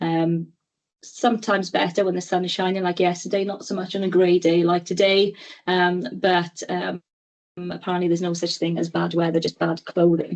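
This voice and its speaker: With a Welsh accent, a woman speaks at a moderate pace in a fairly low pitch, her intonation monotone and flat. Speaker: clinical educator, webinar presenter. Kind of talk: webinar presentation.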